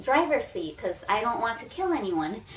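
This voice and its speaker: A woman speaks at a fairly high pitch with an American accent. Noticeable background noise is present. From Texas, U.S. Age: 20s. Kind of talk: casual talk to camera.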